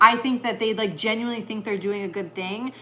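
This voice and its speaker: In an American accent, a woman talks in an animated tone. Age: 50s. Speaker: livestreamer. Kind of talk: casual chat; opinion rant.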